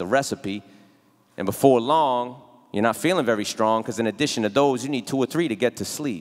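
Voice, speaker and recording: A plain, everyday voice from a man at a medium pitch, fairly quick and lively in intonation. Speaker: spoken word poet. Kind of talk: spoken word poetry performance. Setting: live theatre stage.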